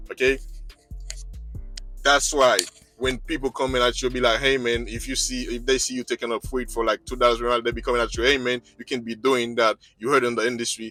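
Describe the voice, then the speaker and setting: Music plays in the background. A man with a non-native accent talks at a very fast pace. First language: not English. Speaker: truck driver and video blogger. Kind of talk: vlog monologue. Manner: agitated; halting.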